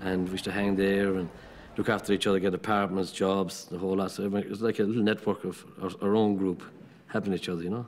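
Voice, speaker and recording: Speaking very fast in an Irish accent, a man keeps a monotone, flat intonation. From rural Ireland. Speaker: carpenter. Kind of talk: interview.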